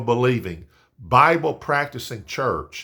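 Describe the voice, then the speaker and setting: Bright and sharp in tone, the voice carries vocal fry over a very clean recording with a silent background. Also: man. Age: 60s. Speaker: pastor. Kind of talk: devotional talk. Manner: halting, many fillers and repeats.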